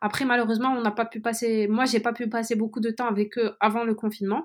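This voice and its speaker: A woman with a normal speaking voice talks at a fairly quick pace and a fairly high pitch, on a very clean recording with a silent background. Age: 20s. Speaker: student intern in venture capital. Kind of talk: interview.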